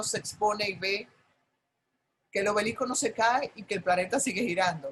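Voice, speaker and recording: A woman speaks at a moderate pace with a fairly high pitch and lively intonation. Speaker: broadcaster, master of ceremonies. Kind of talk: masterclass talk on public speaking.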